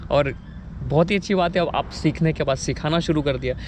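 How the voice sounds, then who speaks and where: The man's voice sits at a high pitch. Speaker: vlogger. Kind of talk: interview.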